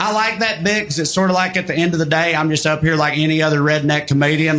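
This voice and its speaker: Talking at a very fast pace, a man with a Southern US accent has a high pitch. Noticeable background noise and audible room echo surround him. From US South. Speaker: stand-up comedian. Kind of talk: stand-up.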